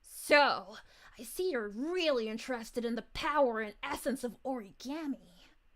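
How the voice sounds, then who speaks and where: Using a put-on character voice, a woman speaks at a high pitch and a moderate pace with ordinary pitch variation. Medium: virtual streamer. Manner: gloating, low, under the breath.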